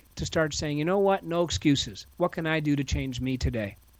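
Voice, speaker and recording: On a very clean recording with a silent background, a man with a plain, everyday voice talks at a fairly quick pace with lively intonation. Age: 50s. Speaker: author and speaker. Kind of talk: podcast interview.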